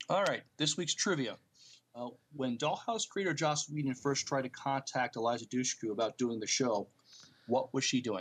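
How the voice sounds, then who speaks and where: A man talks at a moderate pace and medium pitch with ordinary pitch variation. He has a plain, everyday voice. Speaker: podcast co-host. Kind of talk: casual podcast chat and news reading.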